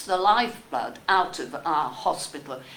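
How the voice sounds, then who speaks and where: Room echo is clearly audible. The delivery moves at a fairly slow pace. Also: woman. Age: 80s+. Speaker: member of the public. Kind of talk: public comment at a meeting. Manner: animated.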